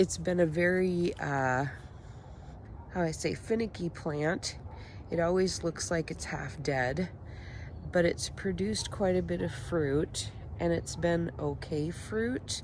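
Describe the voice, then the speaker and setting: Long, frequent pauses interrupt the talking. Its pace is very slow. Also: woman, very deep, low pitch for a woman, lively intonation. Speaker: home gardener. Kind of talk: casual talk to camera. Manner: hesitant, many filler words.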